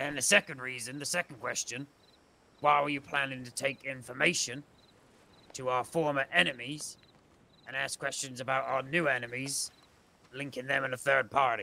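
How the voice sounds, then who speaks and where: A man puts on a character voice at a medium pitch. He leaves long, frequent pauses. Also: moderate pace. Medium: game stream. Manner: confrontational.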